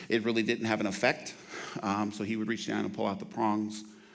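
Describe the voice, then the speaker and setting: A man speaks at a fairly low pitch. The room echo is audible. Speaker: trauma nurse and outreach manager. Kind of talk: lecture. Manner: fast.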